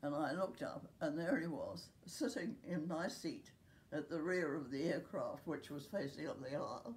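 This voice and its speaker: This woman has a New Zealand accent and a dark, mellow tone at a fairly low pitch. She talks at a fairly slow pace with lively intonation. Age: 90s. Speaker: care home resident. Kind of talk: interview.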